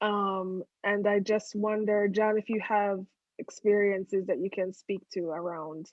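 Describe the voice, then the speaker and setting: Woman with an American accent at medium pitch, a fairly slow pace, and fairly even intonation. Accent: foreign accent, changed to be more palatable. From outside the US. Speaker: podcast co-host. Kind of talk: casual chat.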